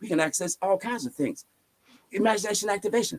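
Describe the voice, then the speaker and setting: Delivery runs at a very fast pace in an animated tone. The sound is dry and close, with no echo. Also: man. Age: 70s. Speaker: spiritual teacher. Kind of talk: interview storytelling.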